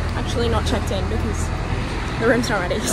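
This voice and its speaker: Loud background noise under a woman's dry voice with no echo. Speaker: travel vlogger. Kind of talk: casual vlog chat. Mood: frustrated ranting. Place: station. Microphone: phone near.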